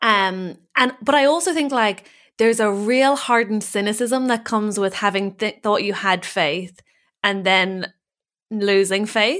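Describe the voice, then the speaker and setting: On a very clean recording with a silent background, a woman with an Irish accent speaks at a fairly slow pace, her fairly high pitch showing ordinary variation and her loudness very even. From Ireland. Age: 30s. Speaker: comedian. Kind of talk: casual interview chat.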